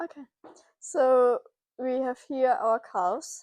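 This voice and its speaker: A woman speaks with a German accent in a high pitch with ordinary pitch variation. The sound is dry and close, with no echo. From Germany. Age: 20s. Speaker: farm intern, agriculture student. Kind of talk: casual farm tour presentation. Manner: halting, many fillers.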